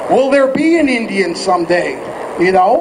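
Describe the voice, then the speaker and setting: A man's extremely high voice with an American accent and very wide pitch swings, in audible room echo over noticeable background noise. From Oregon, US Pacific Northwest. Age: 40s. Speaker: activist's son speaking at rally. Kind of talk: rally speech. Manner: halting.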